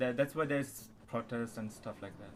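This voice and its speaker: His speed is moderate. The man has a non-native accent. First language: not English. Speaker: channel owner chatting with strangers online. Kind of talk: casual chat. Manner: halting.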